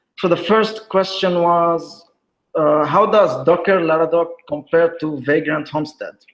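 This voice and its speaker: Fairly slow and fairly even in intonation, a man talks at a high pitch. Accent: non-native. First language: not English. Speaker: software developer, conference speaker. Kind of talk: tech talk with screen demo. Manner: hesitant, many fillers.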